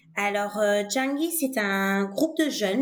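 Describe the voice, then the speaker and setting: A woman's medium-pitched voice, a normal speaking voice. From Senegal (Dakar). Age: 30s. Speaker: biology teacher and education nonprofit co-founder. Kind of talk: interview conversation.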